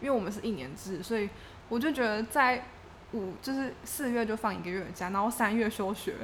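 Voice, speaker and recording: A woman speaks at a fairly high pitch with ordinary pitch variation. Her plain, everyday voice moves at a fairly quick pace. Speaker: graduate student abroad. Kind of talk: casual chat.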